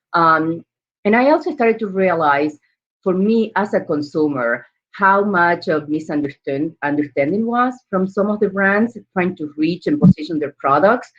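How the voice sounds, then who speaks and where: Lively intonation and a moderate pace from a woman at medium pitch. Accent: Argentine. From Argentina. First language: Spanish. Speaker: entrepreneur. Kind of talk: panel interview.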